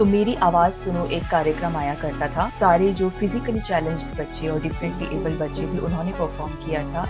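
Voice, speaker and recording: Over music in the background, a woman with a fairly low pitch talks at a moderate pace with ordinary pitch variation and hardly any pauses. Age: 30s. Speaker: anchor and voice dubbing artist. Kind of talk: interview answer.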